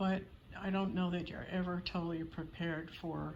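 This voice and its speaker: Audible room echo surrounds the voice. A woman talks at a moderate pace. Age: 70s. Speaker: doll channel vlogger. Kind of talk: casual vlog update. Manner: hesitant with fillers.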